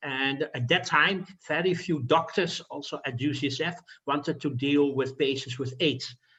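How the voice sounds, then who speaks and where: Speaking with a slight Dutch accent, a man uses a fairly high pitch. His pace is moderate. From Netherlands. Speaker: physician. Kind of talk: lecture. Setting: video call. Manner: halting, with fillers.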